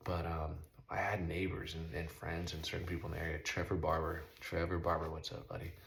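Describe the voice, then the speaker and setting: Over noticeable background noise and audible room echo, a man with an American accent talks at a fairly quick pace in a monotone, flat intonation with a very deep, low pitch. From Southern California. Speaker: motocross rider and vlogger. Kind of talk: casual monologue. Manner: fast.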